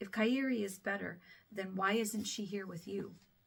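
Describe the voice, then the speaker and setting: It is a put-on character voice, raspy and fairly high in pitch. The pace is moderate. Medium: read story.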